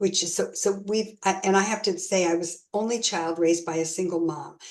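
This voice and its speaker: A woman with an unremarkable speaking voice and an American accent, medium pitch, fairly even intonation and a fairly quick pace. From US South, South Florida. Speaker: guest on faith talk show. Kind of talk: interview.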